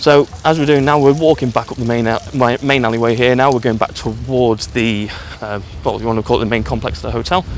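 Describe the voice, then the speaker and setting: A man talks at a very fast pace and medium pitch with ordinary pitch variation over noticeable background noise. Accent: English. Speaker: travel vlogger. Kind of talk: casual vlog walkthrough. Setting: outdoors on a beach. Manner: quiet.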